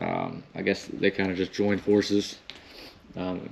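A man talks fairly slowly in a very deep, low voice with monotone, flat intonation. Light background noise is present. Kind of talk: casual vlog commentary. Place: church. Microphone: phone near.

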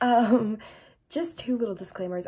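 A woman with an American accent speaks at a moderate pace. Her tone is dark and mellow, and somewhat breathy. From United States. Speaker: history YouTuber. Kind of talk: casual educational talk to camera.

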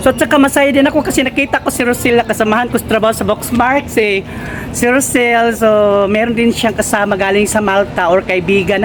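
Talking at a very fast pace, a woman with a fairly high pitch keeps her loudness very even and her pitch variation ordinary, over noticeable background noise. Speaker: vlogger. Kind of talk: casual vlog and street interview.

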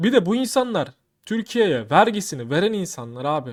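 At a moderate pace, the voice swings very widely in pitch on a very clean recording with a silent background. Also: man. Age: 30s. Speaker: YouTuber. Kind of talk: casual vlog commentary. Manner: animated.

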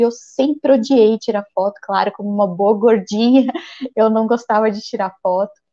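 Against a quiet background, a woman speaks in a normal speaking voice at a fairly high pitch, with fairly even intonation and a moderate pace. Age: 40s. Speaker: physician; guest. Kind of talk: interview. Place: home room. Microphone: earbuds.

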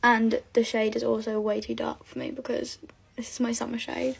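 A woman's raspy, put-on character voice, fairly high in pitch, at a moderate pace. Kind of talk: casual tutorial chat.

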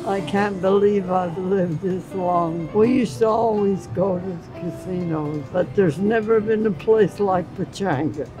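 Over clear music in the background, a woman with an American accent talks at a fairly slow pace with hardly any pauses and ordinary pitch variation. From Southern California. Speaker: birthday guest. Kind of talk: interview answer. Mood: warm, grateful, reminiscing.

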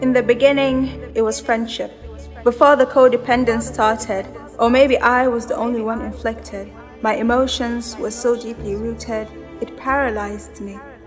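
Music behind a woman's voice, her delivery at a moderate pace. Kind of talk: spoken word poetry.

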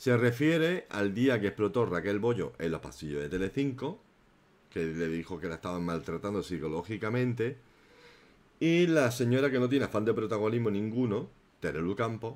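A man speaks at a moderate pace in a fairly low voice with an animated tone. His pitch swings very widely. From inland Spain. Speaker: YouTube gossip commentator. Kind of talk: live stream chat and commentary. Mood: indignant in places.

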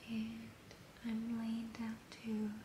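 A soft-spoken woman whispering at a very slow pace against noticeable background noise. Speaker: vlogger. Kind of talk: casual vlog chat, relaxing bedtime style. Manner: soft, drowsy spoken whisper. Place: home room. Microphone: phone near.

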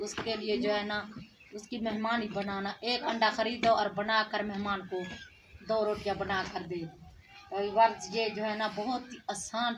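In a room with audible echo, a woman talks at a moderate pace and medium pitch, her voice moving little in pitch.

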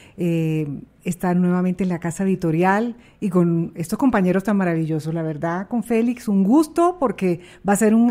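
A woman's dark, mellow tone at a medium pitch, with lively intonation. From Colombian Caribbean coast. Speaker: TV presenter. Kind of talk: casual interview. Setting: studio.

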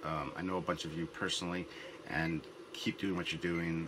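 Amid noticeable background noise, a man with a very deep, low pitch speaks at a moderate pace. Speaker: web series host. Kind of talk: casual talk to camera.

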